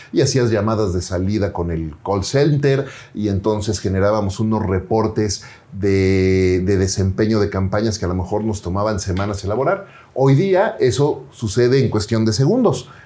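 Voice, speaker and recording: A man's fairly low voice, dark and mellow in tone, moves at a moderate pace with ordinary pitch variation. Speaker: entrepreneur and podcaster. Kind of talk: interview storytelling.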